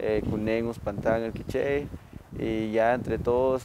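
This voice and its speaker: Through noticeable background noise, a man talks at medium pitch with monotone, flat intonation. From Guatemala City. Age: 20s. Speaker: interviewee. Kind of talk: interview testimony.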